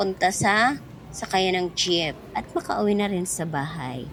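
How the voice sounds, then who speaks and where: There is noticeable background noise. A woman of medium pitch speaks with ordinary pitch variation. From Eastern Visayas (Waray). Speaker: vlogger. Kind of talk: vlog narration. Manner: casual, chatty.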